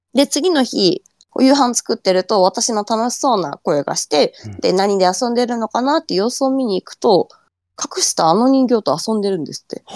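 A woman in a Fukushima accent, fairly high in pitch with very wide swings, at a moderate pace. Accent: Fukushima dialect intonation. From Fukushima, Japan. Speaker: ghost story collector. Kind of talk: storytelling.

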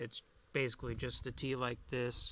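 The tone is bright and sharp, the sound dry with no echo, and light background noise sits underneath. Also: man. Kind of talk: casual vlog chat. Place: open country.

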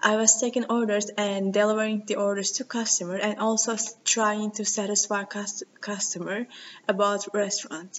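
The speech comes with a Turkish accent and light background noise. Its intonation is monotone and flat. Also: woman, moderate pace. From Turkey. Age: 20s. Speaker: university student. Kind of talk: video CV self-introduction. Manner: halting. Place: meeting room. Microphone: webcam.

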